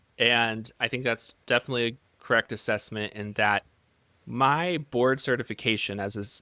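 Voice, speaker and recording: On a very clean recording with a silent background and a dry, close sound with no echo, a man with an American accent speaks at moderate pace and medium pitch, with a bright, sharp tone and fairly even intonation. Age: 30s. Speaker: sleep medicine physician. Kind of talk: interview podcast.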